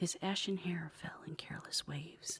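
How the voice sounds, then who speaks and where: A woman's whispering with vocal fry at a moderate pace. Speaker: author and ASMR narrator. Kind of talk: ASMR reading aloud of fiction. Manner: whispered.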